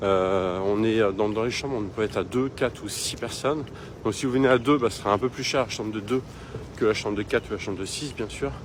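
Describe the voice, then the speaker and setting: Ordinary pitch variation at a fairly quick pace, against noticeable background noise. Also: man. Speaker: travel vlogger. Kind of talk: casual vlog tour. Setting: hostel room. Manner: halting, many fillers; soft-spoken.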